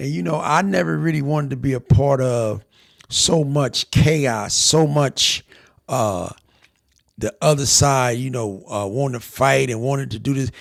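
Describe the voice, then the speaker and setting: At a fairly slow pace, a man speaks at medium pitch with ordinary pitch variation. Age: 60s. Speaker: podcast host, former gang member. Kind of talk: casual reaction commentary.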